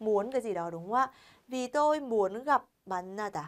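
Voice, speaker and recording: A woman speaks at a fairly slow pace in a fairly high voice with very wide pitch swings. The background is quiet. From Vietnam. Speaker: Korean language teacher. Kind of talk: lecture. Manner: animated. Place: studio.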